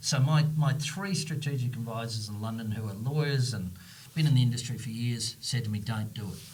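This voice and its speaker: Somewhat breathy and medium in pitch, a man talks at a fairly quick pace with ordinary pitch variation, and audible room echo can be heard. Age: 60s. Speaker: company CEO and founder. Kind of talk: podcast interview. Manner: animated.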